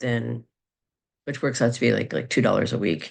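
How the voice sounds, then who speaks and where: This woman's voice sits very deep and low, with vocal fry. The background is quiet. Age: 50s. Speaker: astrologer and psychic. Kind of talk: casual monologue video. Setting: recorded video. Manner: halting, many fillers.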